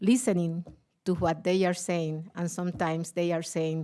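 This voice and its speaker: A woman speaks at a fairly slow pace in a Puerto Rican accent, captured in a very clean recording with a silent background. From Puerto Rico. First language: Spanish. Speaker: teachers' union leader. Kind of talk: panel talk. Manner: halting.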